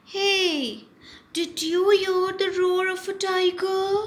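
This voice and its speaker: Very slow pace in a put-on character voice. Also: woman, extremely high pitch for a woman. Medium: read story. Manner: curious, easily startled.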